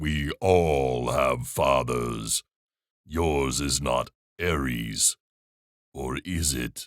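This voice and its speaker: Putting on a booming character voice, a man speaks very slowly with a very deep, low pitch and long, frequent pauses. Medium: read story. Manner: warm, jovial.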